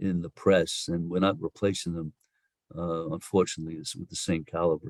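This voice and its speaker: A man with a very deep, low pitch talks at a fairly quick pace in an American accent. His loudness swings widely while his intonation stays fairly even. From New York. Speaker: social insurance policy expert. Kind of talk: podcast interview.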